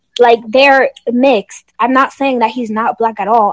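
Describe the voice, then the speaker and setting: Music plays behind a woman with a fairly high pitch who speaks with fairly even intonation in a dry, close sound with no echo. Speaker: college student. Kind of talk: casual group chat.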